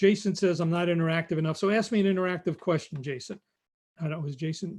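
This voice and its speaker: A high-pitched man's voice in a New York accent at a very fast pace. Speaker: recruiting expert. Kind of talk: live stream talk. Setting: live stream.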